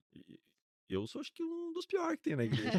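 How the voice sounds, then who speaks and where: A man's voice with a dry, close sound and no echo. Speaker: pastor. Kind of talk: podcast interview. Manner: calm.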